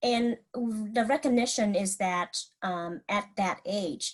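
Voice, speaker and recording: Against a quiet background, a woman with a Vietnamese accent talks with lively intonation. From Vietnam, moved to US at about twelve. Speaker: mental health clinician. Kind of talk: presentation. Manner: halting, many fillers and restarts.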